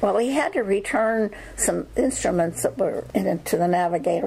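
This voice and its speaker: With noticeable background noise, the speaker uses an American accent and lively intonation at a moderate pace. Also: woman. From western Pennsylvania, Armstrong County. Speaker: oral history narrator. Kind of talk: oral history interview. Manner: halting.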